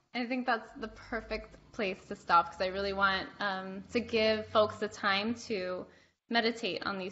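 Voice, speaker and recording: Speaking at a moderate pace, a woman uses a medium pitch and fairly even intonation, with vocal fry. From Cuban American. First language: Spanish. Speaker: podcast host. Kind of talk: casual interview chat.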